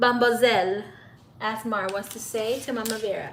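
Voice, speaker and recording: A woman with a Spanish accent and a fairly high pitch talks at a fairly slow pace, with audible room echo and noticeable background noise. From raised in the US, Spanish-speaking family. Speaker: tarot reader, psychic. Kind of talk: live stream reading with chat. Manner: casual, talkative.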